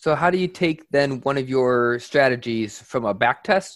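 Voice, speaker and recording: Using an ordinary speaking voice, a man with an American accent speaks at a medium pitch and a fairly slow pace, with lively intonation. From upstate New York. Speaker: podcast co-host. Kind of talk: interview.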